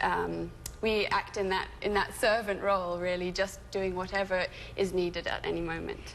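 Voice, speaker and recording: A woman with a British accent. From England (moved from California at eight). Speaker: doula and childbirth educator. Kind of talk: TV interview.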